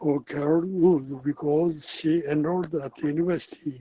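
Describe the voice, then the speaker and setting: Fairly high-pitched male voice with a Japanese accent and fairly even intonation. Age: 80s+. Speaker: English learner. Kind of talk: answering lesson questions.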